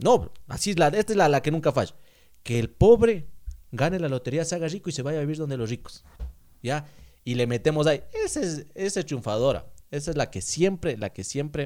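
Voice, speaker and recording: A plain, everyday voice from a man, fairly high-pitched and fairly quick, with lively intonation. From Ecuador, Ambato. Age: 20s. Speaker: podcast co-host stand-in. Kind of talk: casual chat.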